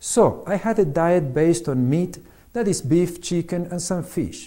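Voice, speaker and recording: Dark and mellow in tone, a man talks with a Spanish accent at a high pitch. He goes at a fairly slow pace with ordinary pitch variation. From Argentina. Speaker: physician and author. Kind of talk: reading aloud.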